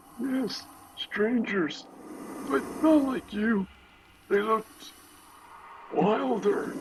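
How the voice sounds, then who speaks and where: Doing a put-on character voice, a man speaks high and with lively intonation at a very slow pace, leaving long, frequent pauses. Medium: audio drama. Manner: fearful.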